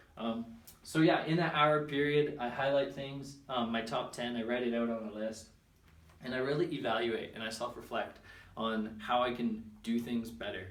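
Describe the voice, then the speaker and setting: Audible room echo surrounds this man's voice. His pitch is medium. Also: ordinary pitch variation. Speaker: personal development vlogger. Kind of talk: casual vlog monologue. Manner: fast; hesitant, many fillers.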